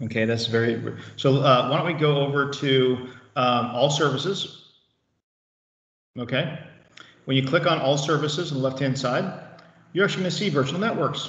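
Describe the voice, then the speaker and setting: A man with a fairly high pitch talks at a moderate pace, with long, frequent pauses. Room echo is audible. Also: ordinary pitch variation. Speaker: IT trainer. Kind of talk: tutorial.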